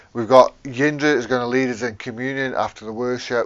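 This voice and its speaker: Fairly even intonation from a man. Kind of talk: church welcome address. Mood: warm, friendly. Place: garden. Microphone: lapel.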